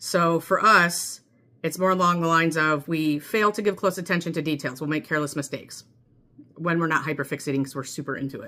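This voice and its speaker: The speaker talks at a fairly quick clip with an American accent. The intonation stays fairly even. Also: woman. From US Midwest. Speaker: mental health vlogger. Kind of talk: personal vlog monologue. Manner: fast; chatty with many fillers.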